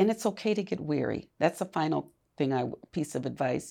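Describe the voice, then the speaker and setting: A woman speaks in a very deep, low voice with vocal fry. Her pitch swings very widely. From US Midwest, Milwaukee. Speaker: community leader and former university administrator. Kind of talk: interview conversation.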